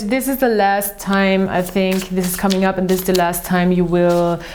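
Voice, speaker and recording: A woman speaks at a moderate pace with a medium pitch and fairly even intonation. The room echo is audible and there is noticeable background noise. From Austria, Vienna. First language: German. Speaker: tarot reader. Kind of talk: tarot and astrology reading monologue. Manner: halting, with many fillers.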